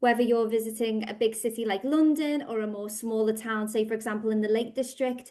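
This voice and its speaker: In a Liverpool accent, a woman with a fairly high pitch speaks at a fairly quick pace in a monotone, flat intonation against a quiet background. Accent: Scouse. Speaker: language school director. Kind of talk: podcast interview.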